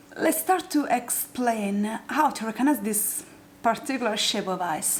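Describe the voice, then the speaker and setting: A woman with an Italian accent speaks at a fairly slow pace in a high pitch, her voice making very wide pitch swings over noticeable background noise. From southern Italy, Apulia. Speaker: makeup youtuber. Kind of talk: tutorial. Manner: halting.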